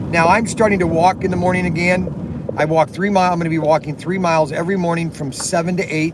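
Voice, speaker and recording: Noticeable background noise fills the clip. The talking goes at a very fast pace. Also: man, high pitch for a man. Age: 60s. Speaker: slot car shop owner and live streamer. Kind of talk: casual live stream chat. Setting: live stream at work. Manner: halting, repetitive with many fillers; animated.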